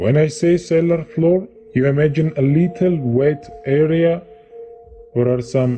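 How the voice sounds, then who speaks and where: A man speaking at a very slow pace over background music. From Estonia. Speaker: self-proclaimed time traveler. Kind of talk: interview testimony. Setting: undisclosed location.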